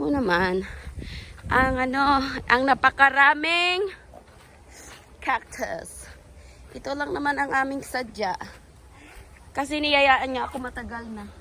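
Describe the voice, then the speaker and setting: A woman with a high pitch speaks in a raised, projected voice at a very slow pace, with lively intonation and long, frequent pauses. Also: big swings in loudness. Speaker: vlogger. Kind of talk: casual vlog chat. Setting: outdoors. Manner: animated.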